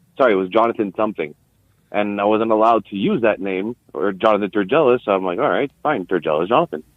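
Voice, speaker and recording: Very fast delivery from a man, pitched fairly low, the pitch moving in an ordinary way. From Quebec. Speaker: podcast guest, eyewitness. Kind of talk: casual interview chat. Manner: halting, many fillers and repeats.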